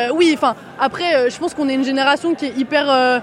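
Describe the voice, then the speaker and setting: A woman with a high-pitched voice talks against noticeable background noise. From Paris suburbs (banlieue), France. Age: 20s. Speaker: student protester. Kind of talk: street interview. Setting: outdoors at a street protest march.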